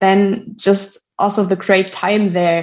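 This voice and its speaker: Against a quiet background, a woman with a German accent speaks at a fairly slow pace. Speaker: solutions manager at a tech company. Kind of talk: podcast interview. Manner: hesitant, many fillers.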